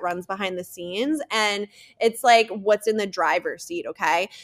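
An enthusiastic tone in a New Jersey accent, with ordinary pitch variation, on a very clean recording with a silent background. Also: woman. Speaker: podcast guest, EFT tapping and subconscious mind coach. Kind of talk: informal, with profanity. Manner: casual, heavy use of filler "like", enthusiastic.

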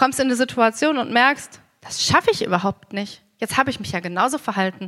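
A plain, everyday voice carries lively intonation at a fairly quick pace. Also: woman. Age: 30s. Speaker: preacher. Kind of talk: sermon.

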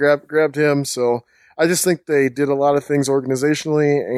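A man with an unremarkable speaking voice talks at a fairly quick pace in an American accent, at a medium pitch. The recording is very clean with a silent background. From Minnesota. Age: 30s. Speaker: sports writer and blogger. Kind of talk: casual chat.

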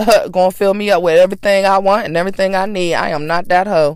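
Her tone is furious and animated. The woman speaks at a fairly quick pace. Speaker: podcast host. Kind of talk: angry rant; casual gossipy chat. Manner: animated, sassy; loud, furious, heated tirade with cursing.

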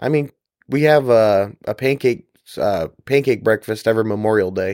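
Recorded very cleanly against a silent background, with a dry, close sound and no echo, a man of medium pitch speaks with ordinary pitch variation in an unremarkable speaking voice. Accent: American. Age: 20s. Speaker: corrections officer. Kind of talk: interview.

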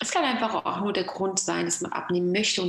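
A woman is speaking with noticeable background noise. There is audible room echo. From Germany, Moroccan family. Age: 30s. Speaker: nutrition coach. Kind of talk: interview. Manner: hesitant with fillers.

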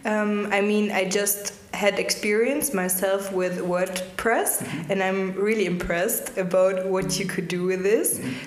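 The speaker talks at a fairly slow pace with hardly any pauses and fairly even intonation. Noticeable background noise runs under the voice. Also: woman, medium pitch for a woman. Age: 20s. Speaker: startup co-founder, lawyer. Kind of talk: podcast interview.

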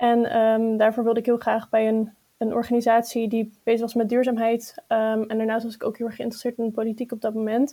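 A woman's fairly high, dark, mellow voice at a very fast pace, monotone and flat in intonation, on a very clean recording with a silent background. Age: 20s. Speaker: youth party chair. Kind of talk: interview.

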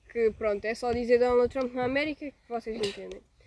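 A woman speaks with a European Portuguese accent. Her pitch varies in an ordinary way, and her pace is moderate. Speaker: podcast co-host. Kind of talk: casual chat.

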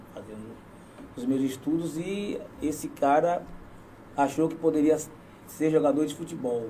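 A man with a fairly high voice speaks with long, frequent pauses, ordinary pitch variation and big swings in loudness. Noticeable background noise and audible room echo are present. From southern Bahia, Brazil. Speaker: local politician and former footballer. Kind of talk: casual interview.

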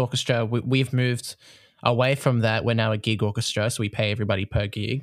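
The speaker has an Australian accent and talks at a fairly quick pace. The intonation is fairly even. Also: man. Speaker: podcast host, music teacher and conductor. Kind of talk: casual interview chat. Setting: remote call.

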